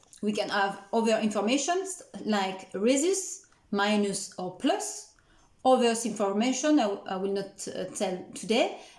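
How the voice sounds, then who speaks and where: A woman with a French accent speaks at a fairly slow pace with lively intonation and a fairly high pitch. Audible room echo fills the recording. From France. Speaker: nutritionist. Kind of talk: educational talk. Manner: halting.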